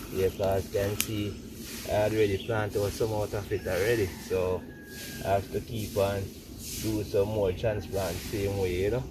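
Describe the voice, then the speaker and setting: A man speaks at a fairly low pitch in a monotone, flat intonation, with long, frequent pauses. Noticeable background noise runs beneath him. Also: moderate pace. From Jamaica, St. Elizabeth. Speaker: tobacco farmer. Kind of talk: casual demonstration talk.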